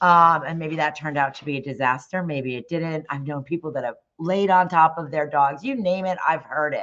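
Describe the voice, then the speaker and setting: A woman with a very deep, low pitch speaks at a fairly quick pace with hardly any pauses, ordinary pitch variation and big swings in loudness, over a quiet background. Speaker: dog groomer and salon owner. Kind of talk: live stream presentation. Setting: live stream from home. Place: home room. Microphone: webcam.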